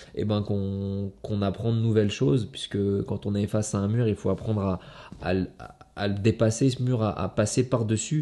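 Speaking at a moderate pace, a man with a fairly low pitch uses fairly even intonation and a dark, mellow tone. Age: 30s. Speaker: kickboxing world champion. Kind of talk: motivational monologue to camera. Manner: halting, many fillers and repetitions. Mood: reflective, earnest. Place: home room.

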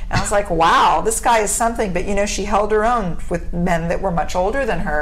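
Speaking very fast with an American accent, a woman uses ordinary pitch variation while faint music plays in the background. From US Mid-Atlantic, DC area; US Mid-Atlantic. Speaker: actor. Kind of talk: casual chat. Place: meeting room.

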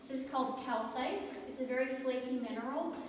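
There is strong room echo in the clip, along with light background noise. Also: woman. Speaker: mine tour guide. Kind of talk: guided tour explanation. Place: tunnel cave. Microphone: camera far.

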